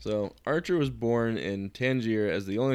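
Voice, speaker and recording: The recording is very clean, with a silent background. A man with an ordinary speaking voice talks at a fairly low pitch with ordinary pitch variation. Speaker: co-host. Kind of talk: casual chat, reading notes aloud.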